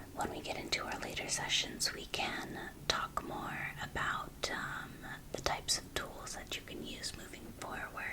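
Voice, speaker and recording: Whispering at a fairly slow pace, the speaker is heard over noticeable background noise. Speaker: ASMR creator doing a therapist role play. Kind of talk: ASMR therapy intake role play, spoken to the viewer. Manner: whispering, soft and reassuring.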